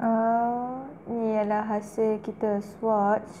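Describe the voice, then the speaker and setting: The speaker is a woman with a Kedah accent. Her pitch is fairly high. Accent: northern Malay (Kedah) dialect. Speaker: beauty youtuber. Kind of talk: product review. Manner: casual, chatty.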